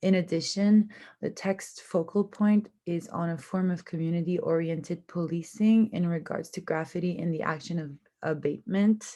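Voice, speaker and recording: In a French accent, a woman speaks with a fairly low pitch, a dark, mellow tone and fairly even intonation. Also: moderate pace. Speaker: university student. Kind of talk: class presentation. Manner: somewhat halting with fillers.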